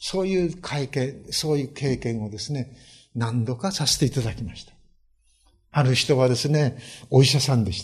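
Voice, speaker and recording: A man talks at a moderate pace. His voice is medium in pitch and somewhat breathy. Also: ordinary pitch variation, big swings in loudness, quiet background. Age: 70s. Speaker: pastor. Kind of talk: sermon. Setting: church. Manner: many filler hesitations.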